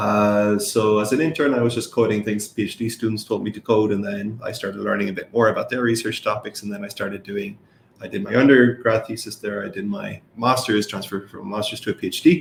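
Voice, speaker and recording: A man at a very fast pace, his intonation fairly even, with hardly any pauses. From Ireland. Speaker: professor. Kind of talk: interview. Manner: hesitant, many fillers.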